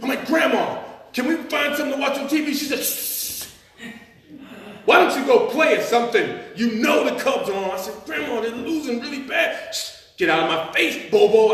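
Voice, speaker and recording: Noticeable background noise sits behind a man speaking at a moderate pace. His pitch swings very widely. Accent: American. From Chicago. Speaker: storyteller. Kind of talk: live storytelling performance. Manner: casual, humorous.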